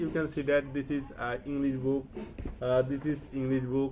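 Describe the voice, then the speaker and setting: A man with a fairly high pitch speaks in a Bengali accent. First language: Bangla. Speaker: English learner vlogger. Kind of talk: casual vlog monologue. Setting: at home study table, to camera. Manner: halting, with many fillers; not fluent.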